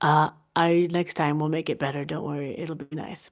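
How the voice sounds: A woman speaks in a low voice with little pitch movement. The recording is very clean, with a silent background. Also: moderate pace.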